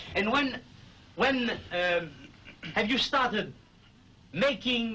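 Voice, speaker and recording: A man with a French accent uses a raised, projected voice at an extremely high pitch for a man, with ordinary pitch variation and very even loudness. He talks at a very slow pace, with long, frequent pauses. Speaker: interviewer. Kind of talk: interview.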